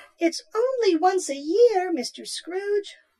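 A put-on character voice squeaks at an extremely high pitch. The pace is fairly slow. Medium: audio drama. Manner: chirpy, meek.

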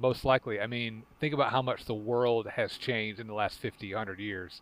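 An ordinary speaking voice from a man, fairly low-pitched, with ordinary pitch variation and a moderate pace. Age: 30s. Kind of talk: casual chat.

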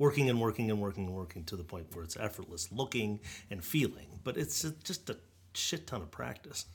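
A man with an American accent, somewhat breathy, his pitch swinging very widely, on a very clean recording with a silent background. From Los Angeles. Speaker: singer-songwriter. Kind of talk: casual chat.

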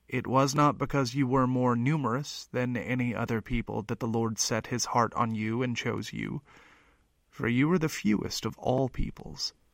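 This man has an ordinary speaking voice at a medium pitch. He speaks at a moderate pace with fairly even intonation. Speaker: lector. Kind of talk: reading aloud.

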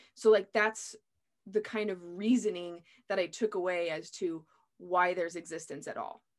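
With a plain, everyday voice, a woman speaks at a medium pitch and a moderate pace, her intonation fairly even but her loudness swinging widely, over a quiet background. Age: 30s. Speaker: podcast host. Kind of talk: casual interview.

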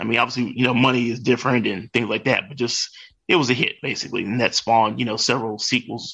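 Using a plain, everyday voice, this man keeps a medium pitch and fairly even intonation. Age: 40s. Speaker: comic book enthusiast. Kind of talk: casual chat.

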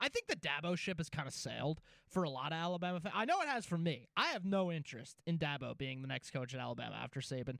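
Talking at a very fast pace, a man with an American accent has a fairly high pitch. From New Jersey. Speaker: sports radio co-host. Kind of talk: sports radio talk show. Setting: radio studio.

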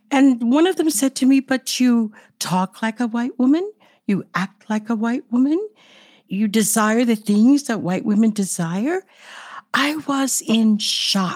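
A woman with an American accent speaks in a plain, everyday voice at a fairly high pitch, using lively intonation at a fairly slow pace on a very clean recording with a silent background. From United States, Gullah country. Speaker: podcast co-host. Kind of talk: interview.

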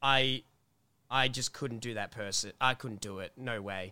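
Over a very clean recording with a silent background, a man with an Australian accent speaks fairly slowly in a bright, sharp, animated tone. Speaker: YouTuber and podcast co-host. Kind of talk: casual chat. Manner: loud.

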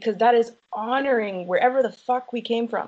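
An ordinary speaking voice from a woman with an American accent, fairly high pitch and ordinary pitch variation. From United States. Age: 30s. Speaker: polyamorous interviewee. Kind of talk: interview.

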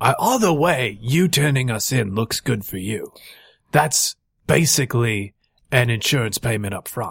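A raspy, put-on character voice moves at a moderate pace with ordinary pitch variation, recorded dry and close with no echo. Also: man, medium pitch for a man. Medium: actual play. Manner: matter-of-fact, casual.

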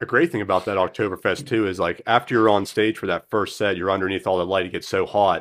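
With hardly any pauses, a man with a fairly low pitch races along at a very fast pace, using ordinary pitch variation. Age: 30s. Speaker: podcast host and musician. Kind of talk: casual chat.

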